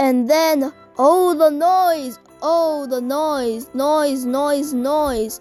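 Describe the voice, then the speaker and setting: With faint music in the background, a woman speaks at a high pitch and a very slow pace. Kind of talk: bedtime story. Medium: read story.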